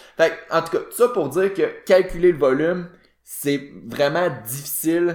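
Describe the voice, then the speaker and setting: With a Quebec accent, a man speaks at a high pitch and fairly slow pace, showing ordinary pitch variation. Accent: Québécois French. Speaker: fitness podcast co-host. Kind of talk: casual chat. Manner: hesitant, many fillers.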